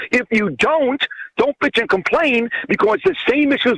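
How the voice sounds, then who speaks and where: Lively intonation marks this man's New York accent. The sound is dry and close, with no echo. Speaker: radio host and author. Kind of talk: interview.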